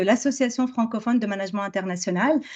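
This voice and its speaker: Against a quiet background, a woman talks at a fairly quick pace. Her voice is fairly high-pitched, with fairly even intonation. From France. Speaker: business school professor. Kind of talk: academic presentation. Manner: halting, many fillers.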